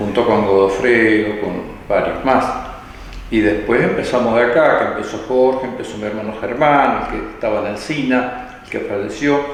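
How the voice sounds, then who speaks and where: With an Argentine accent, a man speaks at a moderate pace and medium pitch with fairly even intonation, amid audible room echo and noticeable background noise. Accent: Rioplatense Argentine Spanish. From Argentina, Buenos Aires province (Baradero). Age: 70s. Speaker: church elder. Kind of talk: interview testimony.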